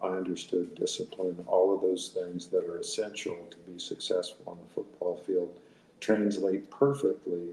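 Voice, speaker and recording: A man with an American accent talks in an ordinary speaking voice at a fairly low pitch. His pace is fairly slow and his intonation fairly even. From Arizona. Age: 60s. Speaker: retired judge and former college quarterback. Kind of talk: interview.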